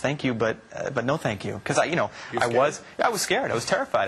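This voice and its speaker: A man rushes through his words at a very fast pace amid noticeable background noise. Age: 20s. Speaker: singer. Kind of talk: interview answer.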